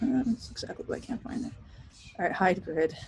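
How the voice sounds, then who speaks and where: Her voice somewhat breathy, the woman moves along at a fairly quick pace. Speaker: professor teaching design software. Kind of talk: recorded class tutorial. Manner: casual, chatty.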